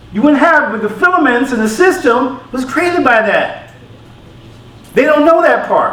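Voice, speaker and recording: Noticeable background noise and audible room echo behind a voice with ordinary pitch variation and an American accent. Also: man. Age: 60s. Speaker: lecturer on African history. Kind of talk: q&a after a talk.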